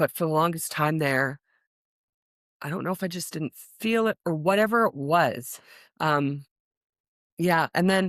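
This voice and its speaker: A woman talks at a fairly slow pace, her sound dry and close with no echo. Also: very clean recording, silent background. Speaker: guest on career podcast, risk management professional. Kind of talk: casual interview conversation. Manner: loud, outgoing.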